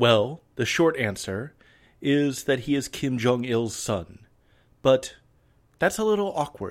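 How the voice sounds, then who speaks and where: This man speaks very slowly at a medium pitch, with long, frequent pauses and lively intonation. The recording is very clean, with a silent background. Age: 30s. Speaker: history podcast host. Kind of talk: scripted narration.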